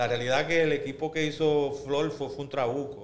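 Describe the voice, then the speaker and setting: A man with a Puerto Rican accent, amid noticeable background noise and audible room echo. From Puerto Rico, Río Piedras. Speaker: basketball rules expert and former player. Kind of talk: casual interview. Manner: hesitant, with frequent fillers.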